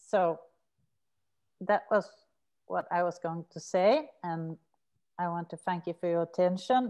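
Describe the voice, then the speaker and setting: A woman's fairly low, dark, mellow voice with a Swedish accent, ordinary pitch variation, a fairly slow pace and long, frequent pauses, over a quiet background. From Sweden. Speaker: researcher and prison maths teacher; teacher. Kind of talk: academic seminar talk. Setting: video call. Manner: hesitant with fillers. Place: home room. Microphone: webcam.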